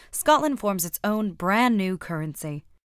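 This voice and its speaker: Speaking with an American accent, a woman uses a medium pitch with very wide swings. The recording is very clean, with a silent background. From United States. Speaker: explainer video narrator. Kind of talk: scripted narration. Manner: clear, measured.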